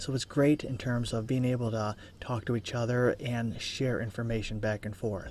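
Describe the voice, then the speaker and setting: The voice is quiet and whispering. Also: man, moderate pace. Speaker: college instructor. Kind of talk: tutorial. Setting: office cubicle.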